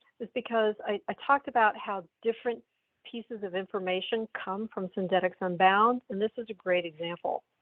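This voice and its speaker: This woman has a normal speaking voice with a fairly high pitch. Her pace is moderate and her pitch varies in an ordinary way. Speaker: software sales demonstrator. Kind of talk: product demo.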